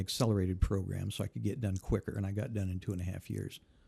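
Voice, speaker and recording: Somewhat breathy and dark, mellow in tone, a man with an American accent speaks at a fairly low pitch with fairly even intonation. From Indiana, US Midwest. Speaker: former judge and prosecutor running for office. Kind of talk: interview conversation.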